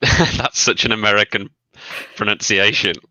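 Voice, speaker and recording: Someone with a Birmingham accent speaks at a fairly slow pace. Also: man. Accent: Birmingham area. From English Midlands, near Birmingham. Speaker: YouTuber. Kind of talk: casual chat. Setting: livestream video call.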